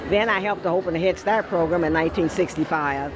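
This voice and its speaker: Fairly quick speech with music in the background and audible room echo. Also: woman. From US Midwest, Evanston, Illinois. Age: 80s+. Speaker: former TV news personality. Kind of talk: casual interview.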